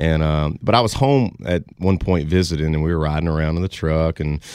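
A man talks at a moderate pace with a Louisiana accent. The recording is very clean with a silent background. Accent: Southern US (Louisiana). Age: 20s. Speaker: country singer. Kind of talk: interview.

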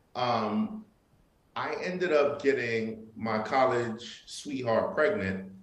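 A man with a medium-pitched voice and a New York accent speaks with very wide pitch swings, and audible room echo can be heard. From Brooklyn, New York, Haitian family. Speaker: entrepreneur and father. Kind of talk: casual interview chat.

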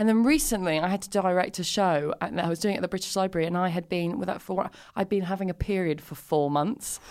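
At a very fast pace with hardly any pauses, a woman talks at a medium pitch with ordinary pitch variation. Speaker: comedian. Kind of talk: casual chat.

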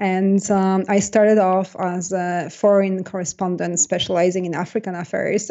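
With a Polish accent, a woman speaks at a medium pitch in a monotone, flat intonation. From Poland. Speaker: science journalist and author. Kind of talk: interview. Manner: hesitant, many fillers.

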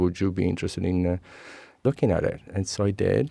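With an Italian accent, a man talks at a fairly quick pace in a dark, mellow tone against a quiet background. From Sicily, Italy (Messina). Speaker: architect and author. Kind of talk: interview.

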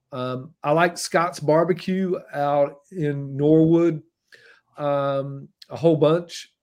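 Speaking with a Southern US accent, a man uses a fairly high pitch and fairly even intonation. The recording is very clean, with a silent background. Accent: Southern US (Georgia). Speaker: food writer and TV host. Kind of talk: interview. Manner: thoughtful, articulate.

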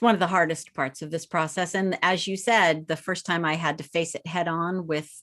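A woman with a plain, everyday voice talks at a fairly quick pace, her pitch fairly low and her intonation fairly even, over a quiet background. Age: 50s. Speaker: author and educator. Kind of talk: interview.

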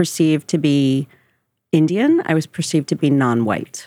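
A woman speaks with a very deep, low pitch at a fairly slow pace. Her loudness stays very even. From New Jersey, US. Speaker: diversity and inclusion specialist. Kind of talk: interview.

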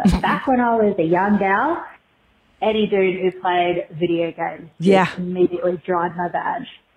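A woman speaks with an Australian accent at a moderate pace. Her pitch varies in an ordinary way. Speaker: voicemail caller to a podcast. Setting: phone voicemail. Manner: casual, blunt, profane.

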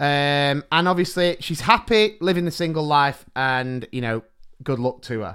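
With an animated tone and lively intonation, a man talks at a moderate pace in a fairly high pitch. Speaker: primary school teacher and podcast co-host. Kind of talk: casual chat.

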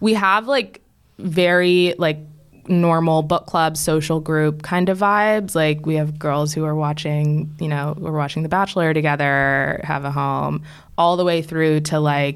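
In a very clean recording with a silent background, a woman with an American accent speaks at a very deep, low pitch with fairly even intonation. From Washington DC area (Maryland suburbs). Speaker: head of community at a tech company. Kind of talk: casual chat.

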